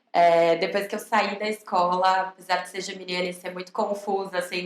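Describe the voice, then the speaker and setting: At a moderate pace, a woman with a São Paulo accent speaks in a medium pitch with fairly even intonation. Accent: Brazilian Portuguese, São Paulo. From Brazil, São Paulo. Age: 20s. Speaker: recruitment manager and psychologist. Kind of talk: podcast interview. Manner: casual, conversational.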